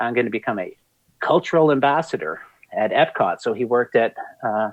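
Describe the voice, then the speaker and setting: A man with a slight Canadian accent talks at a fairly quick pace. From Canada. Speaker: museum creative director. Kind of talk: interview conversation. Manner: animated.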